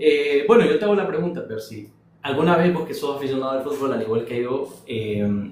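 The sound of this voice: This soft-spoken man talks at a fairly quick pace at a medium pitch, with ordinary pitch variation, a slightly mellow tone and strong room echo.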